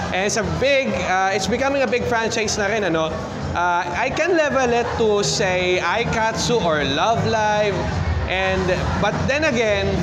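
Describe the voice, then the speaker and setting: Over clear background music, a man speaks at a fairly slow pace with ordinary pitch variation. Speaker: event vlogger. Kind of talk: casual vlog chat. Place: hall. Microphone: phone near.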